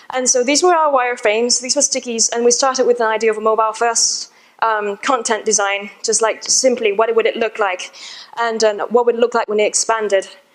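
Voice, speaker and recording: A woman speaks at a fairly high pitch. Background noise is noticeable. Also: fairly quick pace. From Australia. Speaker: conference speaker. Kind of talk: conference talk. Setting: stage with audience. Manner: animated.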